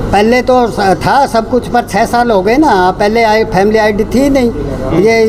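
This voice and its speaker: A man speaks at a high pitch with fairly even intonation. Noticeable background noise and audible room echo surround him. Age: 70s. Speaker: elderly villager. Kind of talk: interview.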